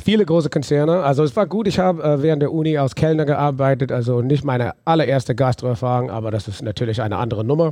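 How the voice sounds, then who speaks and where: The speech races at a very fast pace with hardly any pauses. The intonation is lively, and the tone is dark and mellow. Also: man, fairly high pitch for a man. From US South, New Orleans. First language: English (speaking German). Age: 40s. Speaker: brewery owner. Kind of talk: interview. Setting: on location in a brewpub. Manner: halting.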